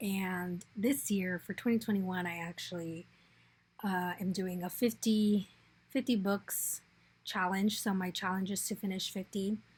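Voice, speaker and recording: A woman with an American accent talks at a fairly slow pace and medium pitch, somewhat breathy, with fairly even intonation. The recording is very clean, with a silent background. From Arizona, Phoenix. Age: 20s. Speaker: returned volunteer / scholarship applicant. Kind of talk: personal video essay. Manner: hesitant, with fillers.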